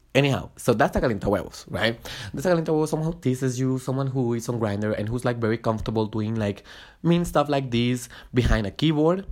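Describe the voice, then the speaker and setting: This man talks at a very fast pace in a Spanish accent, his pitch medium with ordinary variation. The recording is very clean, with a silent background. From Guatemala. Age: 20s. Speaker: podcast host. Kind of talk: casual monologue. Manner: halting, many fillers and restarts.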